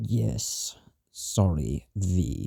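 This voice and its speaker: A man puts on a character voice that sounds strained, pitched very deep and low. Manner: strained, suppressing irritation.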